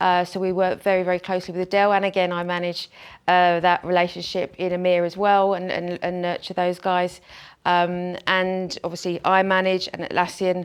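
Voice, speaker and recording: On a very clean recording with a silent background, a woman speaks at a moderate pace in a medium pitch with monotone, flat intonation. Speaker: channel sales executive. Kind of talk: conference presentation. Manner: hesitant with many fillers and repetitions.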